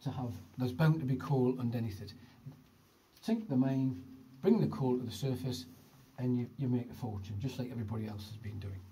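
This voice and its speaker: Somewhat breathy, with a dark, mellow tone, a man speaks at a moderate pace and ordinary pitch variation. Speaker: tour guide. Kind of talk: guided tour narration. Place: tunnel cave. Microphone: phone near.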